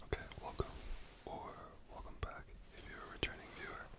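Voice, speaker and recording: The speaker is whispering at a fairly quick pace. Noticeable background noise can be heard. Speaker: ASMR content creator. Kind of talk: ASMR whispered ramble. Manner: whispered, soft-spoken.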